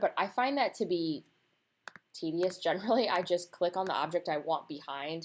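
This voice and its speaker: In a very clean recording with a silent background, a woman with an unremarkable speaking voice talks at a fairly low pitch and a moderate pace, with ordinary pitch variation. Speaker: designer teaching laser-cut design. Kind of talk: screen-recorded tutorial. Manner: casual, conversational.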